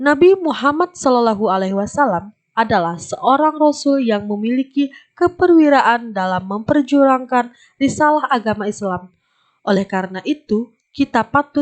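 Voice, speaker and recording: An ordinary speaking voice from a woman, fairly high in pitch, with lively intonation at a fairly slow pace and a dry, close sound with no echo. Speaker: voice-over narrator for educational video. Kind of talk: classroom lesson narration for children.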